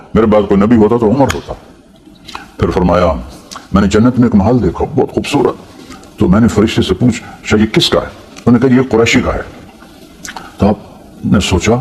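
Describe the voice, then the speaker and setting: Through noticeable background noise, a man talks at a fairly low pitch with ordinary pitch variation. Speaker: Islamic preacher. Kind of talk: Islamic sermon (bayan). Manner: emotional, devotional storytelling.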